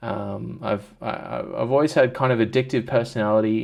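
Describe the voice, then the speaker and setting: A man with an Australian accent. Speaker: vlogger. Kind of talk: personal vlog. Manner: halting, many fillers.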